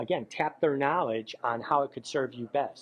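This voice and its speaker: In an ordinary speaking voice, a man speaks at a moderate pace and fairly high pitch with ordinary pitch variation. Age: 60s. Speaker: professional photographer. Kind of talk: promotional interview. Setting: camera store.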